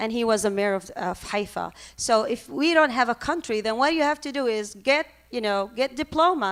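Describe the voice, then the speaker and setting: In a very clean recording with a silent background, a woman with an Arabic accent speaks in a high voice with lively intonation. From Lebanon, Palestinian refugee camp in Beirut. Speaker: professor and activist. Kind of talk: conference panel talk. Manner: halting, many fillers.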